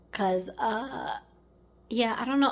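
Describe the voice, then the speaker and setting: In an American accent, a woman uses an ordinary speaking voice at a fairly high pitch, with ordinary pitch variation and a moderate pace. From Maryland, US. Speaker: lifestyle vlogger. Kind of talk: casual vlog talk to camera. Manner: casual, meandering with many fillers.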